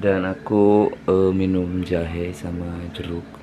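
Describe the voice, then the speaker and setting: Noticeable background noise sits behind a man whose very deep, low voice has monotone, flat intonation. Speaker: vlogger. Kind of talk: video diary.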